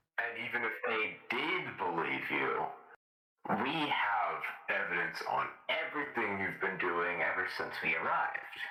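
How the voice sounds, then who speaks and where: A man puts on a character voice. There is a slight echo. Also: fairly slow pace. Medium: machinima. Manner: casual, breezy.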